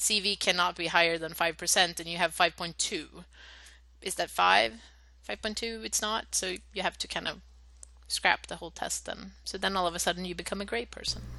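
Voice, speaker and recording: A woman with a fairly low pitch and a bright, sharp tone speaks with vocal fry and ordinary pitch variation. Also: moderate pace. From Sweden. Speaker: project coordinator, former scientist. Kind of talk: casual interview.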